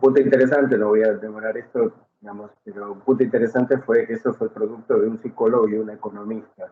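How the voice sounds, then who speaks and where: A man with an Argentine accent at a fairly quick pace. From Argentina. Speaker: psychotherapy professor. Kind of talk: panel discussion.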